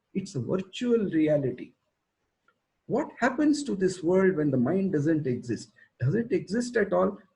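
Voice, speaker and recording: A man's high voice in a dark, mellow tone, with very wide pitch swings, at a moderate pace. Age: 60s. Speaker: school educator. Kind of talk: talk. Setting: video call.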